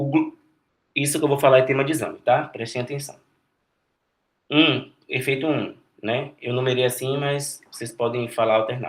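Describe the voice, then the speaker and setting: This man speaks at a moderate pace. His pitch is fairly high and his intonation fairly even. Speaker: medical student tutor. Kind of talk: lecture. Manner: halting.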